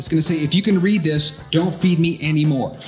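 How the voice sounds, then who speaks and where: A man speaks at a very fast pace in a high voice. Faint music plays in the background. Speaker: motivational speaker and comedian. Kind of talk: stand-up comedy routine to a live audience. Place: stage. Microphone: handheld.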